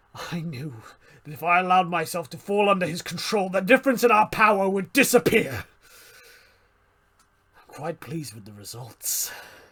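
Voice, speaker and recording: A man does a gravelly, high-pitched put-on character voice at a moderate pace, with long, frequent pauses. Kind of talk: dramatic monologue performance. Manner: intense, dramatic.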